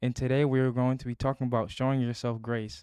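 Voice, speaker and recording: A man at medium pitch, fairly quick in pace, with monotone, flat intonation and a dry, close sound with no echo. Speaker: musician vlogger. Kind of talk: casual self-talk monologue. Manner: stuttering, halting; rambling, filler-heavy.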